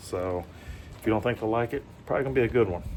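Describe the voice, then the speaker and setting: A man speaks at a fairly low pitch with a Southern US accent. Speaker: vlogger. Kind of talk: casual vlog talk. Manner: hesitant, many fillers.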